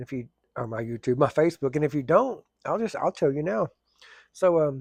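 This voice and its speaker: A man speaks fairly quickly with an Oklahoma accent and lively intonation. His pitch is fairly high, and the sound is dry and close with no echo. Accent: southern US (Oklahoma). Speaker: firefighter and plumber vlogger. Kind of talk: casual vlog talk. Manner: fast.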